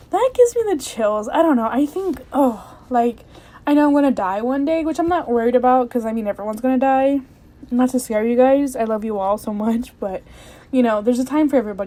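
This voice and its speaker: A woman talks at a fairly quick pace in a high voice. Noticeable background noise runs underneath. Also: ordinary pitch variation. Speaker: podcast host. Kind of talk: casual podcast monologue. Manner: chatty, full of fillers.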